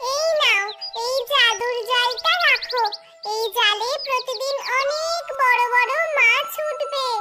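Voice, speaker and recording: In a squeaky, cartoonish character voice at an extremely high pitch, a woman speaks at a fairly slow pace. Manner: polite, warm.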